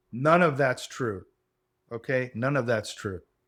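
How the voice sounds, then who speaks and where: On a very clean recording with a silent background, a man with a normal speaking voice talks at medium pitch with lively intonation. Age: 60s. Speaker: podcast host. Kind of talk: solo monologue lecture. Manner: casual, hedging with fillers.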